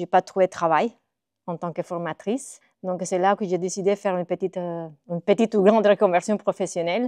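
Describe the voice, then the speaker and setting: The sound is dry and close with no echo as a woman speaks in a Spanish accent. Her medium pitch stays fairly even in intonation at a fairly quick pace. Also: quiet background. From Costa Rica. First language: Spanish (speaking French). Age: 40s. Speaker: illustrator and graphic designer. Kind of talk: interview monologue. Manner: hesitant, many filler sounds.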